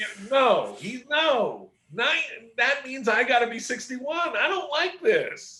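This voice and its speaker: Projecting his raised voice, a man talks very slowly at an extremely high pitch with lively intonation. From Pittsburgh, US. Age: 60s. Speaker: comic book artist. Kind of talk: casual chat.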